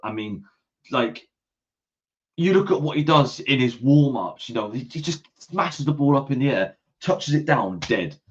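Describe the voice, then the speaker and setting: A man with an English accent speaks at a moderate pace in a fairly high pitch, his lively intonation and animated tone edged with vocal fry. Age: 20s. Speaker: football podcast host. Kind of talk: casual chat.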